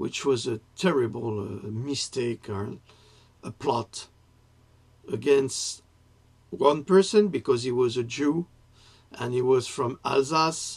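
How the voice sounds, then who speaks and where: With a French accent, a man speaks at a very slow pace and medium pitch, somewhat breathy, with ordinary pitch variation. He takes long, frequent pauses, and his loudness swings widely. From France. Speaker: writer and political commentator. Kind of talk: political monologue to camera. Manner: halting, with self-corrections.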